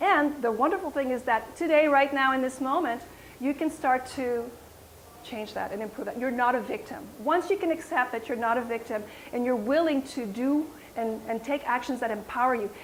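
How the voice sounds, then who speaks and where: A woman with a French accent speaks at a high pitch in an animated tone. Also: ordinary pitch variation, moderate pace. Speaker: wellness coach and yoga teacher. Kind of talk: health talk to audience.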